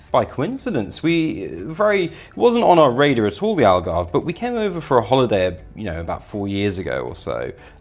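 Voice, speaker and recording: With a British accent, a man talks fairly quickly at a fairly high pitch, with very wide pitch swings, vocal fry and hardly any pauses. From UK, raised abroad (Italy, Kenya, Zimbabwe, Dubai). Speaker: real estate sales director. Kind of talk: interview.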